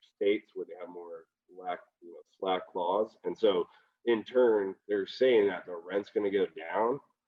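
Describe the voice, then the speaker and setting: This man talks at a fairly quick pace. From Seattle area. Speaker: reality TV cast member, skateboarder. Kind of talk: podcast interview. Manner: casual, slangy.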